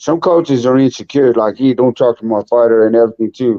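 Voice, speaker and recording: A man talks at a very fast clip with fairly even intonation. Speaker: boxing promoter and trainer. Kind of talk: casual chat. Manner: loud.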